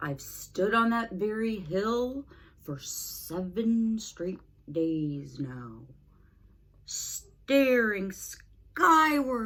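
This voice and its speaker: A woman uses a put-on character voice at a very slow pace. Her pitch swings very widely. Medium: read story. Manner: earnest, polite.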